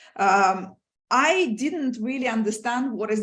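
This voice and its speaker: A woman speaks with lively intonation. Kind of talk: lecture. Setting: video call. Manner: fast; animated.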